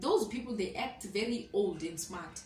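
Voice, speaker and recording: A woman talks in an animated tone at a moderate pace with ordinary pitch variation, with audible room echo and noticeable background noise. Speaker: student teacher vlogger. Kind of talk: casual vlog storytelling. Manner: animated, code-switching.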